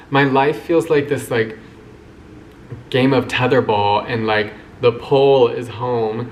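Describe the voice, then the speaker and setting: A man with an American accent and medium pitch, at a very slow pace with long, frequent pauses, fairly even intonation and noticeable background noise. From US Midwest, Kansas City. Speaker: vlogger. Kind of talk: personal vlog monologue. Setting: alone talking to camera. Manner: casual, hesitant with many fillers.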